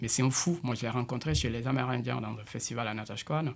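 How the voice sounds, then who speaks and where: With vocal fry, a man speaks in a Senegalese accent at a fairly quick pace. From Senegal, Casamance. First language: Diola (speaking French). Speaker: multidisciplinary artist and musician. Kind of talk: radio interview. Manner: halting, with many repetitions.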